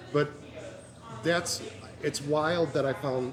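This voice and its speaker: Music plays behind a man with an American accent who talks at a very slow pace. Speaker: music show host and blogger. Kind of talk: casual interview chat. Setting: empty bar/restaurant on location. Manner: stuttering, halting.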